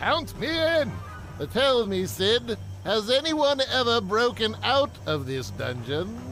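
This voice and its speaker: Over clear background noise, a man does a cartoonish character voice at a fairly slow pace. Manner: formal, old-fashioned exclamations.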